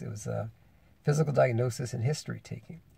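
A man speaks in a somewhat breathy voice. The sound is dry with no echo. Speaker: health educator. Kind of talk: casual vlog chat. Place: car. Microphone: phone near.

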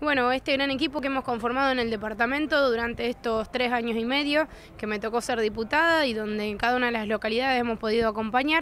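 Over light background noise, a woman speaks at a very fast pace in a high pitch. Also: dry sound with no echo. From Argentina, Coronda (Santa Fe); Santa Fe, Argentina. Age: 30s. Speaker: politician. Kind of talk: press interview. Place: street.

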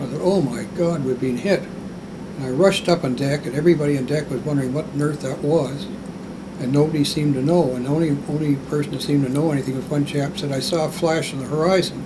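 Over noticeable background noise, a man with a Canadian accent talks very fast at a fairly high pitch with ordinary pitch variation. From Canada. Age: 80s+. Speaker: war veteran. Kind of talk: interview answer. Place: home room.

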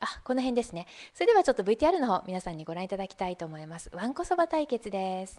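A woman's medium-pitched voice at a very fast pace, with very wide pitch swings, big swings in loudness, and noticeable background noise. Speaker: online broadcaster and seminar organizer. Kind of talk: live-stream presentation. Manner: polite, formal.

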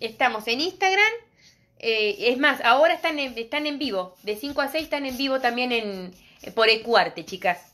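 A woman's high, raised, projected voice with a bright, sharp, animated tone, very wide pitch swings and a fairly slow pace. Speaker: craft and decorative painting teacher; decorative painting teacher. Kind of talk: live streamed craft tutorial. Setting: live stream on social media. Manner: animated, talkative. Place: shop. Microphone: phone near.

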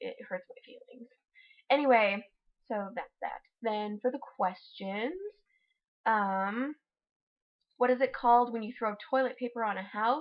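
Against a quiet background, a woman mumbles at a fairly slow pace with high pitch, ordinary pitch variation, big swings in loudness, and long, frequent pauses. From Utah, USA. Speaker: vlogger. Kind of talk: casual talk to camera, accent tag word list. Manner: a bit mumbly. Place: home room. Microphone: webcam.

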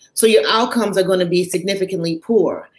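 In an American accent, a woman speaks with ordinary pitch variation amid audible room echo. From Chicago, US Midwest. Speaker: physician; panelist. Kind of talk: panel discussion. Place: home room. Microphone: webcam.

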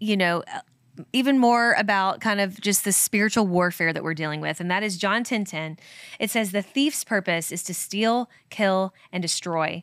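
A woman speaks in a Kentucky accent at a moderate pace, with ordinary pitch variation. The sound is dry with no echo, and the background is quiet. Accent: Kentucky accent, flares on some words. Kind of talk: casual devotional scripture talk. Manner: conversational with many fillers. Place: studio. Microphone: studio mic.

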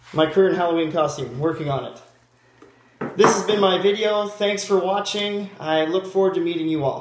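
With noticeable background noise, the voice shows ordinary pitch variation. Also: man, high pitch for a man, moderate pace. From Ontario, Canada (small town). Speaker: job applicant. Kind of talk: video job application monologue; self-introduction video. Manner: halting, with fillers and restarts. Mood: upbeat, friendly. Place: home room. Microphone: webcam.

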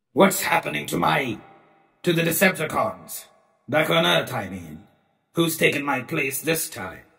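In a put-on character voice, a man talks at a moderate pace with a fairly high pitch, leaving long, frequent pauses. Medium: audio drama. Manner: sardonic, contemptuous.

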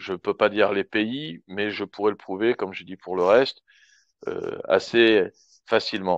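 In a normal speaking voice, a man talks at a fairly slow pace and a fairly low pitch. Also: dry, close sound with no echo. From France. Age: 40s. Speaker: expat public relations worker. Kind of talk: live Q&A in online audio room.

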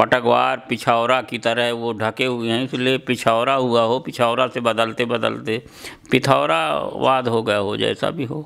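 Against a quiet background, a man talks at a very slow pace with hardly any pauses and fairly even intonation. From Madhya Pradesh, Satna district (Baghelkhand); Madhya Pradesh, India. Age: 70s. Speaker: farmer, seed conservationist and poet; poet. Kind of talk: interview. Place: home room. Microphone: handheld.

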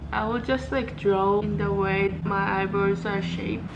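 Noticeable background noise sits behind a woman's voice. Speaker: student vlogger. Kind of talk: casual vlog chat. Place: home room. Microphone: phone near.

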